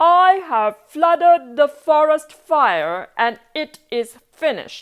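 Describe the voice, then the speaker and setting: A woman uses a put-on character voice, high in pitch with lively intonation. She speaks at a very slow pace. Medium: read story. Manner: earnest, heroic.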